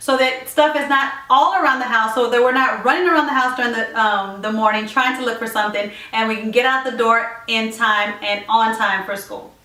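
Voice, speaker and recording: A woman talks at a fairly quick pace in a fairly high pitch, with ordinary pitch variation. Noticeable background noise is present. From Puerto Rico. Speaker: lifestyle vlogger. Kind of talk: casual tutorial vlog. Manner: fast.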